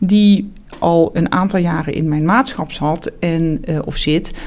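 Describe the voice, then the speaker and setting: Very slow speech from a woman, pitched fairly low. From Netherlands, South Limburg (Heerlen). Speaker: surgeon and professor. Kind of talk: interview. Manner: hesitant, many fillers and repetitions.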